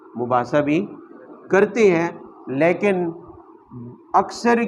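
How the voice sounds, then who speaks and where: A man speaks over noticeable background noise. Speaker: Islamic scholar giving Quran commentary. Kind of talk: religious lecture (Quran tafseer). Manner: rhetorical, asking questions and answering them himself.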